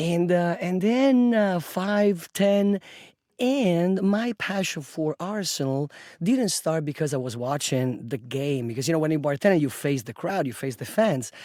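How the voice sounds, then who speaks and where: Speaking with an Italian accent, a man has a high pitch, a dark, mellow tone and lively intonation. His pace is moderate, on a very clean recording with a silent background. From Italy, Rome. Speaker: bartender and football fan group leader. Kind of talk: podcast interview. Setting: studio. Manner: hesitant with fillers.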